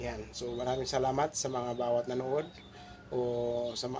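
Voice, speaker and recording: Over noticeable background noise, a man talks at a medium pitch in a monotone, flat intonation. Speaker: video blogger. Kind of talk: tutorial. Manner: halting.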